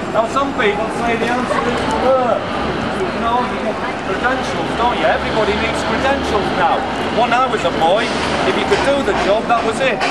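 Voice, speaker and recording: Loud background noise accompanies speech at a moderate pace. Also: man. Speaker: street preacher. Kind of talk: street preaching. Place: street. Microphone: camera far.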